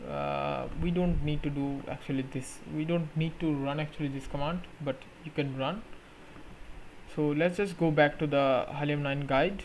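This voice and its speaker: Audible room echo surrounds a man whose fairly high voice moves at a moderate pace with fairly even intonation. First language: not English. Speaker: tech YouTuber. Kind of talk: tutorial. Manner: halting, with fillers.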